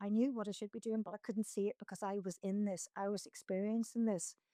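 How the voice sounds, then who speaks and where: A woman with a Northern Irish accent speaks at a fairly quick pace in a fairly high, dark, mellow voice, her sound dry and close with no echo in a very clean recording over a silent background. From Northern Ireland. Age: 60s. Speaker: mountaineer. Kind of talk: interview conversation.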